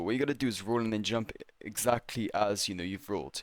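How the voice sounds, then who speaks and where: A man mumbles at a very fast pace, his pitch medium with ordinary variation. The recording is very clean, the background silent. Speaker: gaming youtuber. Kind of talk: game tutorial voiceover. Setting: voiceover recorded while playing. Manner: mumbling, pausing; casual, hesitant.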